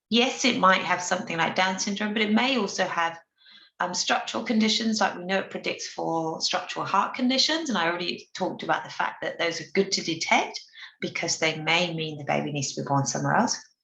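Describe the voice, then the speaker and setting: At a fairly quick pace, a woman talks with lively intonation, a bright, sharp tone and a medium pitch, and the room echo is audible. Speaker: obstetrician presenting a webinar. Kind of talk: lecture. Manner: fast.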